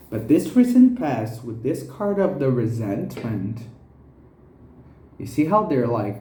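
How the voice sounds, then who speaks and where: A man's medium-pitched, somewhat breathy voice, dark and mellow in tone, with lively intonation, long, frequent pauses and audible room echo. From Brazil. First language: Portuguese. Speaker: tarot reader. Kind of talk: tarot reading.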